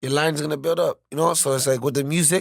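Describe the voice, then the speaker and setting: A man with a normal speaking voice at a fairly high pitch, fairly quick pace and fairly even intonation, in a very clean, dry, close recording with no echo and a silent background. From Toronto, Canada. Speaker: rapper. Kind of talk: casual podcast interview.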